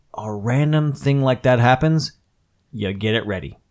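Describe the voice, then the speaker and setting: An ordinary speaking voice with lively intonation. The pace is fairly slow. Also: man. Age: 30s. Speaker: podcast host. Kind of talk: casual chat.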